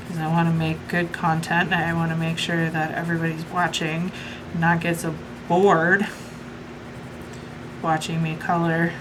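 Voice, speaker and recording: Her voice is fairly low and her intonation monotone and flat, at a moderate pace. Audible room echo and noticeable background noise come through as the woman talks. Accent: American. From US Midwest. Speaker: coloring YouTuber. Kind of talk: casual chat. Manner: chatty, filler-heavy.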